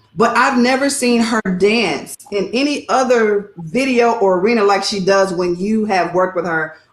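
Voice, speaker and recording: A woman speaks in an ordinary speaking voice with an American accent at a fairly slow pace. Her pitch is medium, with ordinary pitch variation. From Texas. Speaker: interview show host. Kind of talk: interview. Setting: video call.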